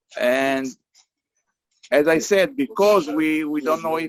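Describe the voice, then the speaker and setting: Speaking with an Israeli accent, a man with a fairly high pitch keeps a moderate pace and ordinary pitch variation. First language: Hebrew. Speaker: meeting facilitator. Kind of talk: online group meeting. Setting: video call from a beach camp. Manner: halting.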